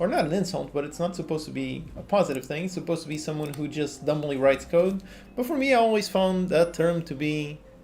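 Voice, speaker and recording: A man in a Portuguese accent at a very fast pace, with light background noise. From Portugal. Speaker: game developer and coding tutorial youtuber; coding tutorial youtuber. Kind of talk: live stream chat while working. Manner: casual, conversational. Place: home room.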